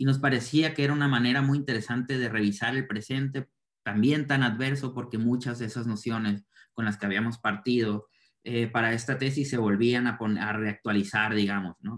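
Against a quiet background, a man with an ordinary speaking voice talks at a moderate pace, his medium pitch kept to fairly even intonation. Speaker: cultural project expert. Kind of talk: reflective summary in online panel. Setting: video call. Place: home room. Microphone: video call.

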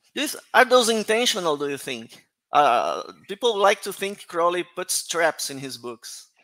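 A man with a Portuguese accent uses a raised, projected voice that is high and bright, sharp in tone, with very wide pitch swings and big swings in loudness. He keeps a fairly slow pace over a quiet background. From Brazil. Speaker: conference organizer and moderator; moderator. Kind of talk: conference moderation and Q&A. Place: home room. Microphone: headset.

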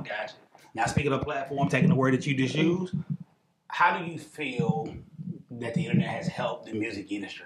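Speaking fairly quickly, a man can be heard over noticeable noise in the background. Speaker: interviewer, show host. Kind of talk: interview question. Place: studio.

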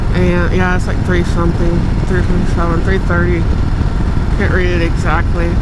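A dry sound with no echo and loud background noise. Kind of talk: casual vlog chat. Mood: relaxed, chatty. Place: motorbike. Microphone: helmet.

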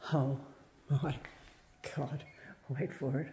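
Somewhat breathy speech over light background noise. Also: woman. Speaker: urban explorer vlogger. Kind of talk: casual vlog commentary. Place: empty room. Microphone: phone near.

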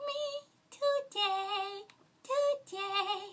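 A bright, sharp tone rings out in a raised, projected voice with lively intonation. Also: woman. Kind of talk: character voice impressions. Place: home room. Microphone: studio mic.

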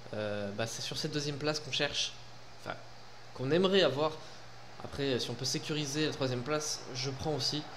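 This man talks at a fairly quick pace with a fairly high pitch and ordinary pitch variation. Long, frequent pauses break up his speech, and light background noise sits underneath. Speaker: gaming YouTuber. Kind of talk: casual gameplay commentary. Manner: animated, informal. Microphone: headset.

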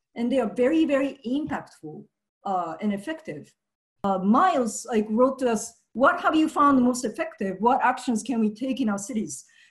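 A woman with a Japanese accent talks at a moderate pace in a high voice. Her intonation is lively, and the background is quiet. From Japan (Nagasaki, Hiroshima). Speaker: activist; speaker. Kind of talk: presentation. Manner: halting, many fillers. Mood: earnest, reflective. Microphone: headset.

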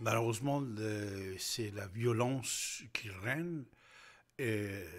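A somewhat breathy male voice at a very slow pace. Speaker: radio news commentator. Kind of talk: news commentary. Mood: serious, measured. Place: studio. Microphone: studio mic.

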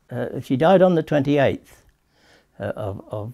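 A man with a dark, mellow tone and vocal fry speaks at a moderate pace with lively intonation, against a quiet background. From England. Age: 80s+. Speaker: author. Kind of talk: interview answer. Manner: hesitant, halting. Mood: tender, grieving, hesitant. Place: home room.

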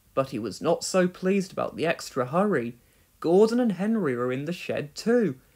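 The text is read aloud. The voice sounds natural.

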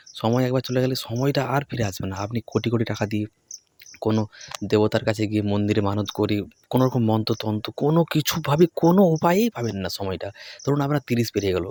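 A man with a normal speaking voice, medium pitch and ordinary pitch variation, in a dry, close sound with no echo. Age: 20s. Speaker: education YouTuber. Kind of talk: motivational talk to camera.

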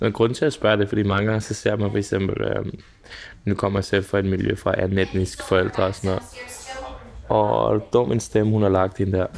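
There is light background noise as a man speaks at a moderate pace with fairly even intonation. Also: fairly low pitch for a man. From Denmark. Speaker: podcast host. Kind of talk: interview. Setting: pub. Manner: casual, hesitant with fillers. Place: cafe.

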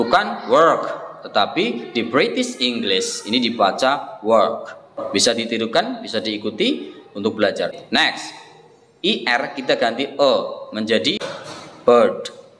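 The speech moves at a very slow pace with long, frequent pauses, and faint music plays in the background. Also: man. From Indonesia. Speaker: English teacher. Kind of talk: tutorial. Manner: repeats words slowly for practice. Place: classroom. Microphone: phone near.

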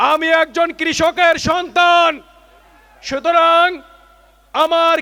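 Amid noticeable background noise, a man uses a raised, projected voice at an extremely high pitch, his intonation monotone and flat. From Bangladesh, Alamdanga (Chuadanga). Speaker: election candidate. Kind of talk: campaign speech. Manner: formal.

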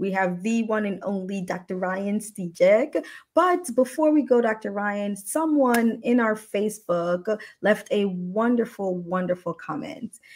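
A woman with a fairly high pitch, lively intonation, and a fairly slow pace. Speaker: ER physician and show host; show host. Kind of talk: livestream interview. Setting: livestream video. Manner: animated. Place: home room. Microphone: earbuds.

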